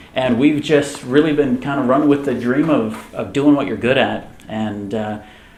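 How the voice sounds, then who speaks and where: A man speaks with an American accent. Room echo is audible, and there is noticeable background noise. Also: medium pitch for a man, ordinary pitch variation, moderate pace. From military family, Germany and US East Coast. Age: 30s. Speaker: tech company co-founder. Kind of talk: fireside chat interview.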